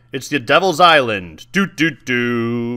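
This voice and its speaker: A man's put-on character voice at a medium pitch and fairly slow pace, with lively intonation. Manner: spooky.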